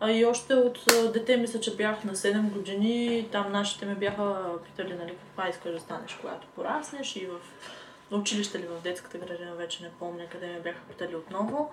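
Amid noticeable background noise and audible room echo, a woman talks at a fairly quick pace with big swings in loudness and ordinary pitch variation. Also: medium pitch for a woman. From Bulgaria, Sliven. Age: 20s. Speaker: cosmetics maker and law student. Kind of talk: casual chat. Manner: halting.

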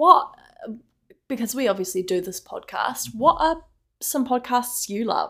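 A woman with a New Zealand accent at a high pitch and a fairly slow pace, lively intonation, big swings in loudness, and long, frequent pauses. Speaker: podcast co-host. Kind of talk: casual chat.

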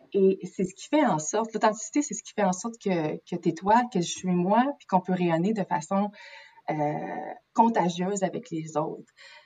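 A woman speaks with a Quebec accent. Her loudness swings widely, while her pitch varies in an ordinary way. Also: medium pitch for a woman, fairly slow pace. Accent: Québécois French. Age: 30s. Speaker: naturopath. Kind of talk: interview. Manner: halting.

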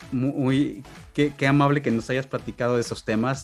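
A man talks with fairly even intonation while music plays behind him. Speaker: podcast host. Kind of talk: interview.

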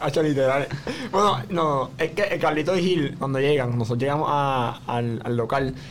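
A man's fairly high voice at a moderate pace, with ordinary pitch variation, very even loudness and audible room echo. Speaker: podcast host. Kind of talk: casual chat.

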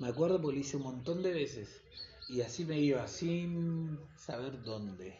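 Speaking in an Argentine accent, a man with a fairly high pitch uses lively intonation at a fairly slow pace over noticeable background noise. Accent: Rioplatense Argentine Spanish. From Argentina, Buenos Aires south zone (Quilmes). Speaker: backpacker podcaster. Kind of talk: casual monologue. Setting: solo home recording.

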